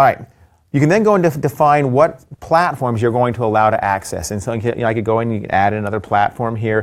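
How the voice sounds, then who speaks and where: In a normal speaking voice, a man with a medium pitch moves at a fairly quick pace and shows ordinary pitch variation. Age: 50s. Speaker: tech executive. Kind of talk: casual chat with product demos. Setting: studio.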